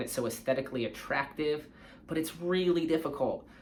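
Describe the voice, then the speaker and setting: With an American accent, a man talks at a fairly quick pace in a normal speaking voice, his pitch fairly high with ordinary variation. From California. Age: 40s. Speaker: surf coach. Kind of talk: casual talk to camera.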